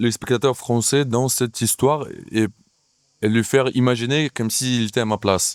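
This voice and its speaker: Dry and close with no echo, a man's voice sits at a medium pitch with fairly even intonation. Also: very clean recording, silent background. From Ukraine. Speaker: actor and playwright. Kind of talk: interview. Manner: hesitant, many fillers.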